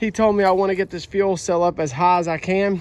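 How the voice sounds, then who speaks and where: With a Southern US accent, the speaker talks at a moderate pace in a monotone, flat delivery, on a very clean recording with a silent background. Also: man. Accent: US South. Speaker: YouTuber, amateur race car builder. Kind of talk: casual vlog talk.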